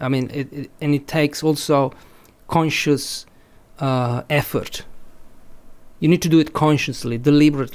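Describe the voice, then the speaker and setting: A man with a slight Italian accent talks at a moderate pace and fairly high pitch in a flat monotone, pausing long and often. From Italy. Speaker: language teacher and author. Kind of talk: podcast interview. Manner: halting, many repetitions.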